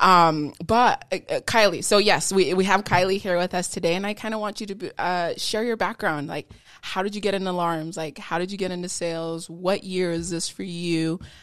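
A woman talks in a normal speaking voice at a medium pitch with fairly even intonation. She moves at a fairly quick pace with hardly any pauses. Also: very clean recording, silent background. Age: 30s. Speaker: podcast host, door-to-door sales rep. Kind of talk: motivational sign-off; casual interview.

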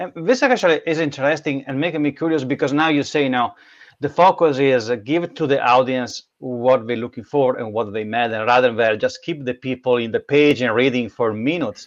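A medium-pitched man with an Italian accent talks at a fairly quick pace with hardly any pauses and ordinary pitch variation, over a quiet background. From Italy. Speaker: podcast host. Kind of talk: interview.

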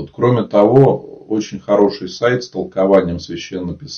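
Somewhat breathy, a man with a fairly low pitch talks at a moderate pace with lively intonation. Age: 30s. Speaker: Orthodox priest. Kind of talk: live-stream talk and Q&A with viewers; reading aloud facts. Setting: online live broadcast.

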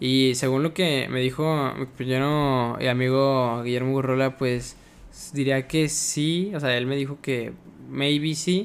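With a Mexican accent, a man talks at a fairly slow pace, his medium-pitched voice keeping a fairly even intonation. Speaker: podcast host. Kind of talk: casual chat.

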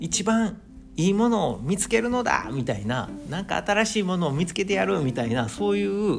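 With audible room echo and noticeable background noise, a man speaks at a moderate pace in a high pitch with very wide pitch swings. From Osaka, Japan. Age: 40s. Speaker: podcast host, amateur runner. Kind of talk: solo casual monologue.

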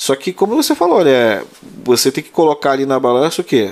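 A man delivers lively intonation at a moderate pace while noticeable noise fills the background. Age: 30s. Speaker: prison officer and exam-prep teacher. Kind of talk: casual chat.

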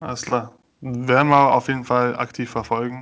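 A man speaks in a plain, everyday voice at a moderate pace and a medium pitch. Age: 20s. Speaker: podcast co-host. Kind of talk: casual chat.

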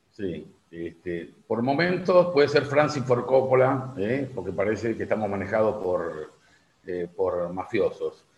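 A man with medium pitch and vocal fry talks at a fairly slow pace, his pitch swinging very widely. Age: 60s. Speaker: journalist and writer. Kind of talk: radio interview. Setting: phone call. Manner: halting, many fillers.

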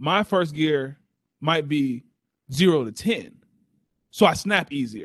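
In an American accent, a man talks with an animated tone and lively intonation. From Texas. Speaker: sports podcast co-host. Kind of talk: casual chat.

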